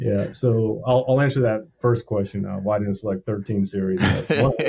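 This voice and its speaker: A man with an ordinary speaking voice, fairly low pitch and ordinary pitch variation. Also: moderate pace. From US Army family, moved around; Texas and California. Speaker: army veteran, state veterans official. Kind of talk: casual interview.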